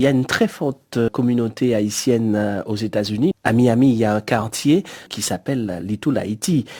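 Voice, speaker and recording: A man's dark, mellow voice at medium pitch, moderate pace and ordinary pitch variation, with a dry, close sound and no echo. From Guadeloupe. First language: Creole (speaking French). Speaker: radio producer. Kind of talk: interview.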